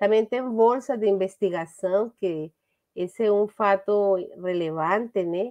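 Speaking at a fairly slow pace with a Spanish accent, a woman keeps her intonation fairly even over a quiet background. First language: Spanish (speaking Portuguese). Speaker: business administration professor. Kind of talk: academic presentation. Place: home room. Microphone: webcam.

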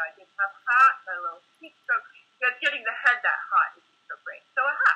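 Her pitch is high and swings very widely. The woman moves at a fairly quick pace with big swings in loudness. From Rhode Island, US. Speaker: Ayurvedic and Chinese medicine practitioner. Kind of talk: casual interview. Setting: video call. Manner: halting.

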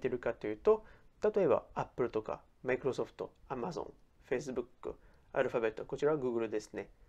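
Against a quiet background, a man with a dark, mellow tone talks at a fairly quick pace, his pitch swinging very widely. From France. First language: French (speaking Japanese). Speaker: personal finance YouTuber. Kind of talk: explainer video.

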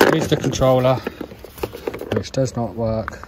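Loud background noise runs under a dry sound with no echo. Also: man. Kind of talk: casual vlog tutorial. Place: workshop. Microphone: phone near.

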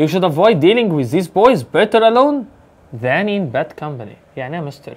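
A man with an Egyptian accent talks at a fairly quick pace with very wide pitch swings. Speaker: English teacher. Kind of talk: exam review tutorial. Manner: fast. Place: home room.

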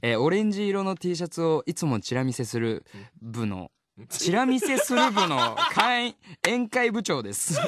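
Over light background noise, a man with a high pitch and very wide pitch swings talks at a moderate pace in a dry sound with no echo. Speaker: voice actor, radio personality. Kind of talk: radio show talk, co-host banter. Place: studio. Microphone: studio mic.

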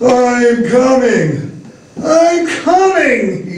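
A put-on character voice, fairly high in pitch, with very wide pitch swings and a slight echo. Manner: slow, wailing.

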